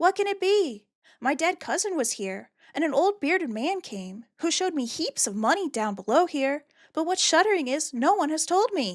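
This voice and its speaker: In a put-on character voice, a woman talks high at a moderate pace with very wide pitch swings. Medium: virtual streamer.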